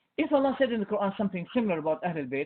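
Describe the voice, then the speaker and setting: A man speaks in an animated tone. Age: 60s. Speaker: Islamic scholar. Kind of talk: heated debate.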